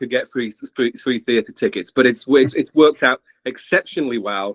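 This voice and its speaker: Medium-pitched male voice with an English accent, ordinary pitch variation and a dry, close sound with no echo. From England. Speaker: theatre fan. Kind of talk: casual chat. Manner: halting.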